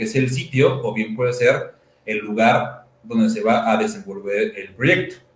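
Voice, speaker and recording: Speaking at a fairly slow pace, a man has a central Mexican accent and a medium pitch. His intonation is lively, and there is audible room echo. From Toluca, Mexico. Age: 20s. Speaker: architect and university teacher. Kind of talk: panel talk presenting architecture practice. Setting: video stream, sharing one camera with partners.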